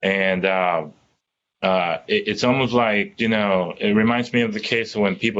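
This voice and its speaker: This man has a Spanish accent. His pitch sits fairly low. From Dominican Republic. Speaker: tech company employee on diversity panel. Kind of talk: panel discussion.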